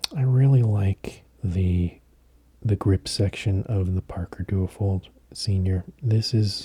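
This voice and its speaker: A soft-spoken man's fairly low, somewhat breathy voice, dark and mellow in tone, with a dry, close sound and no echo. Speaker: fountain pen collector. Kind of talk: soft-spoken sleep aid talk.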